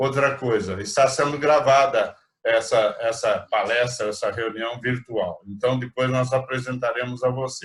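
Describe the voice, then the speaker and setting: A somewhat breathy man speaks at a medium pitch and a fairly slow pace with fairly even intonation. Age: 60s. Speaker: rotary club president. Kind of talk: virtual meeting chat. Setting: video call.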